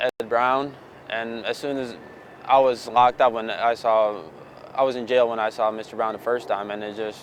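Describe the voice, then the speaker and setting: In a Bosnian accent, a man talks at a moderate pace with medium pitch and monotone, flat intonation. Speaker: former client. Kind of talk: testimonial interview.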